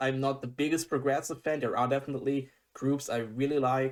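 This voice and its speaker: A man with a German accent speaks at a fairly high pitch and a fairly quick pace. The recording is very clean, with a silent background. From Germany. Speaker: music reaction youtuber. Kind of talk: casual reaction commentary. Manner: animated; halting.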